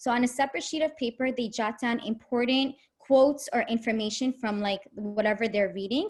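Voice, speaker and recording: A somewhat breathy woman with a fairly high pitch and ordinary pitch variation speaks at a fairly quick pace in a very clean recording with a silent background. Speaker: teacher trainer. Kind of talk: lecture. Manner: fast.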